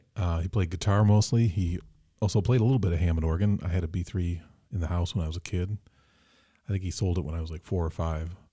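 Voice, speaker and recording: In a very clean recording with a silent background, a man with an American accent talks at a very fast pace in a very deep, low, somewhat breathy voice. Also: ordinary pitch variation. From Michigan, Mason. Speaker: musician. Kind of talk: casual chat. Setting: studio.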